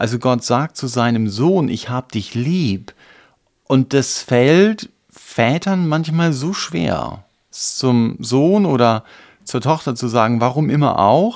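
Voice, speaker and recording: The recording is very clean and the background silent. A man talks very slowly, his intonation lively. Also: medium pitch for a man. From eastern Germany. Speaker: podcast co-host, church member. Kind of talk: casual discussion.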